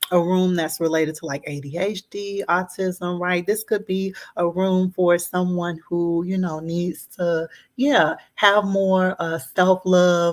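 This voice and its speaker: A woman with a Southern US accent, fairly low in pitch, at a fairly slow pace and with fairly even intonation. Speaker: therapist. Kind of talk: tutorial. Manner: hesitant, many fillers.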